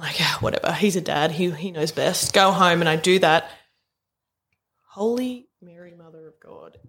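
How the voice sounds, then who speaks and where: Speaking with an Australian accent, a woman with a fairly low voice and ordinary pitch variation keeps a moderate pace, with big swings in loudness. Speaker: podcast co-host. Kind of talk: casual, heavy swearing.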